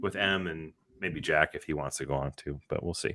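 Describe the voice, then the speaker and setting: Recorded very cleanly against a silent background, a man with an American accent speaks in a bright, sharp tone with vocal fry and ordinary pitch variation, the sound dry and close with no echo. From Western Massachusetts, US. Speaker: podcast co-host. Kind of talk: casual chat.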